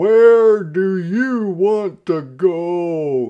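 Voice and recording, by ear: A man performs a loud, put-on character voice with a clear, smooth tone, pitched high. His intonation is lively and his pace very slow.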